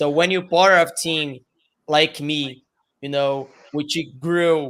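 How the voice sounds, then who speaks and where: Speaking very slowly with fairly even intonation, a man with a Brazilian Portuguese accent has a fairly high pitch. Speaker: streamer and esports team member. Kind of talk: webinar panel discussion. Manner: halting.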